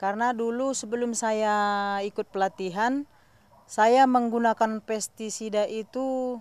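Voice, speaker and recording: A woman talks at a very slow pace with fairly even intonation. The sound is dry with no echo. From Indonesia. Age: 40s. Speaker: farmer. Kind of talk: interview testimony. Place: farm machine.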